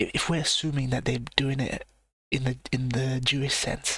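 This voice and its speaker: A man speaks in a whisper. His pace is moderate. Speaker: live reaction streamer. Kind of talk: live stream reaction commentary. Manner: whispering, keeping voice down.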